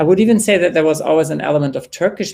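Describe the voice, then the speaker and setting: A man speaks with a German accent and ordinary pitch variation. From Germany. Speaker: jazz singer. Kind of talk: panel discussion.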